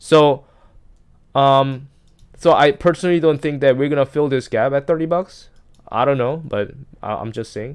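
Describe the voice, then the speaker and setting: A man mumbling at a moderate pace, fairly high in pitch with ordinary pitch variation, long and frequent pauses, on a very clean recording with a silent background. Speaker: stock market commentator. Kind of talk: screen-share market analysis. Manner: halting, many fillers and restarts; self-described mumbling.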